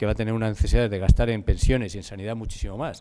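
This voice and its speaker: A man talks very fast at a medium pitch. His intonation stays fairly even. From Spain. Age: 60s. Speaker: conference speaker on demographics. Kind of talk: conference talk. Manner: fast, hurrying to finish.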